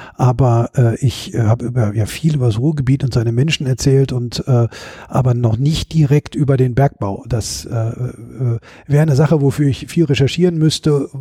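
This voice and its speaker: A man at medium pitch with ordinary pitch variation and a moderate pace, in a dry, close sound with no echo, over noticeable background noise. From Ruhr area, Bochum. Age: 50s. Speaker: author and stage performer. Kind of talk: casual interview. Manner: hesitant, many fillers.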